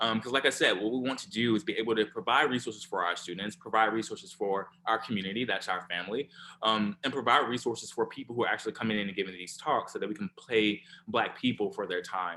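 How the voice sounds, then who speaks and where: Speaking at a very fast pace, a man with an Alabama accent uses a medium pitch, a bright, sharp tone and ordinary pitch variation. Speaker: scientist, co-founder of cancer organisation. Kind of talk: online forum talk. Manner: casual, informal.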